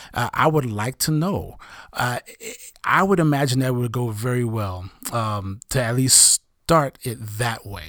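A plain, everyday voice from a man with an American accent, medium in pitch, fairly slow, with lively intonation, on a very clean recording with a silent background. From US Northeast (Brooklyn, New York). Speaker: therapist. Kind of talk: casual chat. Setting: studio.

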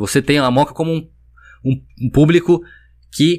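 Recorded very cleanly against a silent background, a man with a fairly high pitch uses a normal speaking voice, moving at a moderate pace with ordinary pitch variation. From São Paulo, Mooca. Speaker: neighborhood security watch founder. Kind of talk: casual chat.

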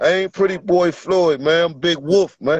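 A man speaking at a moderate pace. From Virginia. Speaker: amateur fighter. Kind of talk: casual interview.

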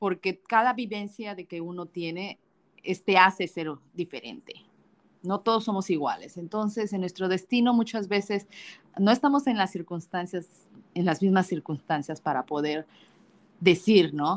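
Pausing long and often, a woman talks at a fairly slow pace at a medium pitch, her loudness swinging widely while her pitch varies in an ordinary way. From Mexico. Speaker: podcast co-host. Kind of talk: casual chat.

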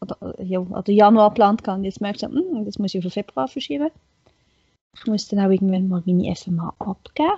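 A woman's somewhat breathy, medium-pitched voice at a moderate pace, with ordinary pitch variation and big swings in loudness. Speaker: podcast guest. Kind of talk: casual chat.

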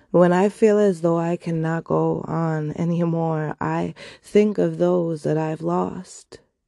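A woman's very slow delivery with hardly any pauses. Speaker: poet and podcast host. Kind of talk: poetry reading, spoken word. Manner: rhythmic, lyrical, heavily rhymed delivery; reflective, earnest, measured.

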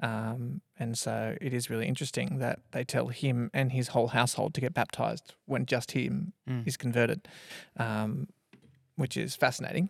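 An Australian accent marks this man's medium-pitched voice with vocal fry, ordinary pitch variation and a moderate pace, in a dry, close sound with no echo. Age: 30s. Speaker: church minister. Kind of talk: casual chat.

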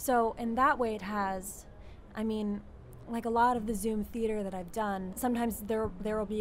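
With a normal speaking voice, a woman talks at a moderate pace in a fairly high pitch. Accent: American. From Philadelphia area, Pennsylvania. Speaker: acting student. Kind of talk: casual interview. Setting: video call.

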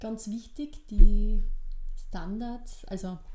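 A woman speaks in a dark, mellow tone, somewhat breathy, with fairly even intonation. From Austria, eastern Styria (Weiz district). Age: 20s. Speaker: midwife and podcast co-host. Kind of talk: casual chat.

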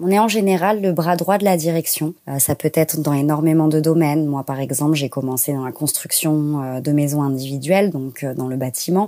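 At a moderate pace and with hardly any pauses, a woman speaks in a very deep, low pitch, her dark, mellow tone showing ordinary pitch variation. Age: 20s. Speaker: office assistant. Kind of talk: personal testimony interview. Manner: hesitant, many fillers.

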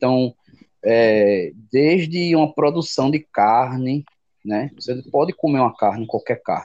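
A man speaks at a fairly slow pace, medium in pitch, with ordinary pitch variation. The sound is dry and close, with no echo. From Brazil, Jaboatão, Pernambuco. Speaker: veterinarian. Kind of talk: interview. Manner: halting.

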